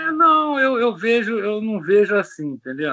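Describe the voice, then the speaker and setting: A man is speaking. His pitch swings very widely. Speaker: comic magazine creator and pastor. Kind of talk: interview.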